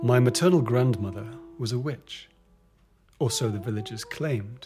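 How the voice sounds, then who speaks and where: Music plays in the background as a man speaks at a medium pitch and moderate pace with ordinary pitch variation. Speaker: author. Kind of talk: audiobook reading.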